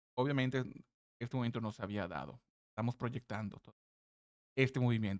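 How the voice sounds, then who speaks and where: There is no echo on this man's voice, which sounds dry and close. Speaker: crypto trading analyst. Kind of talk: market analysis tutorial. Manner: halting, stumbles over words.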